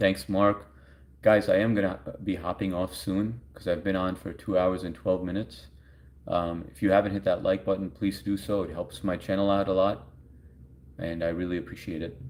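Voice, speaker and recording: Very deep, low male voice in a New York accent, with fairly even intonation. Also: moderate pace, big swings in loudness. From US Northeast, Long Island, New York. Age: 40s. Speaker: live streamer. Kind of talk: casual chat. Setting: live stream.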